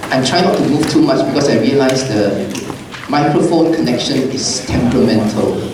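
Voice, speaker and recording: Lively intonation carries over noticeable background noise and audible room echo. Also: man, fairly high pitch for a man, moderate pace. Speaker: physics teacher. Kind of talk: lecture.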